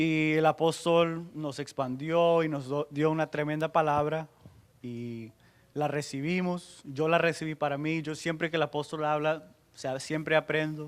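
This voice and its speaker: A man with an English accent speaks at a fairly high pitch and fairly slow pace in monotone, flat intonation. The recording is very clean, with a silent background. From United States. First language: English (speaking Spanish). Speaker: pastor. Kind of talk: sermon. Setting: church conference with audience. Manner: halting.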